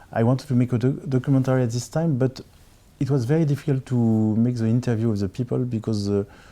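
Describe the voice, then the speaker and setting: Very fast and very even in loudness, a man speaks in a French accent with a dark, mellow tone and fairly even intonation. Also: medium pitch for a man. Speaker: film director. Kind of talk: interview. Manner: halting, with many repetitions.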